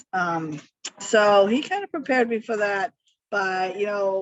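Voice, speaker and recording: Music plays in the background. A woman speaks at a fairly slow pace with ordinary pitch variation. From Germany, Hamburg. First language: German. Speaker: author. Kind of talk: interview. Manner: halting, many fillers.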